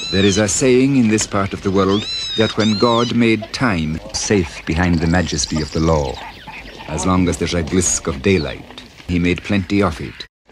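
A man at a very deep, low pitch and moderate pace, with ordinary pitch variation and noticeable background noise. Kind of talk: documentary narration.

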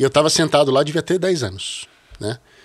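The background is quiet. Against it, a man talks in a fairly high voice. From Brazil, São Paulo (childhood partly in Rio). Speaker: bass player; podcast guest. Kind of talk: casual interview conversation. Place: studio. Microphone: studio mic.

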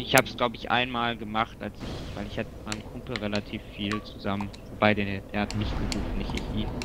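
A man's fairly low, fairly quick voice with fairly even intonation and hardly any pauses, over noticeable background noise. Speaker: video game player. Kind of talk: casual chat while gaming co-op. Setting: video call or online voice chat while playing.

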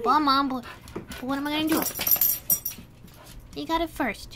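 A woman's cartoonish character voice, high-pitched and at a moderate pace, over clear background noise

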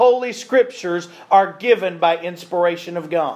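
Ordinary pitch variation from a man speaking at a moderate pace. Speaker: preacher. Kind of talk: sermon. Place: church.

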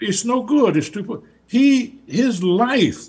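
A man speaks in a Southern US accent at an extremely high pitch with lively intonation. His pace is slow and his tone slightly mellow.

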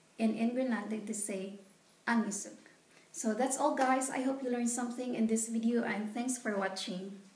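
A woman with fairly high pitch and fairly even intonation speaks at a moderate pace. Light background noise and audible room echo are present. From Philippines. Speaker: vlogger. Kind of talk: tutorial. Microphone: phone near.

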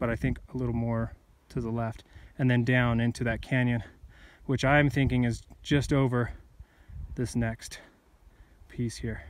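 A man at a moderate pace with fairly even intonation, in a dry sound with no echo. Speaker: hiker vlogger. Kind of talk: casual vlog chat. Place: open country. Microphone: phone near.

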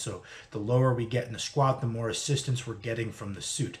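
A man speaks at a fairly quick pace, his voice somewhat breathy. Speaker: strength training vlogger. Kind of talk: casual lecture-style vlog. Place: home room. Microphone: webcam.

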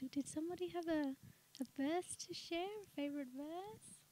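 Soft-spoken, a woman talks at a fairly slow pace with a dark, mellow tone and ordinary pitch variation. The sound is dry and close with no echo.

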